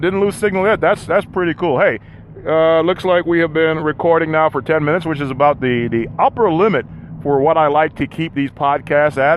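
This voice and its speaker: Here a man is talking. His pitch is fairly high. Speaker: podcast host on a road trip. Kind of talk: live solo podcast monologue. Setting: in a vehicle, mobile. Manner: fast; halting, repeated words.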